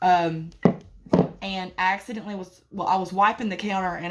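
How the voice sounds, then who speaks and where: A woman talks at a fairly quick pace and a medium pitch. Her intonation is monotone and flat, with noticeable background noise. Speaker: beauty and candle vlogger. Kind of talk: casual product review vlog. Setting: home bedroom. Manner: casual, with many fillers.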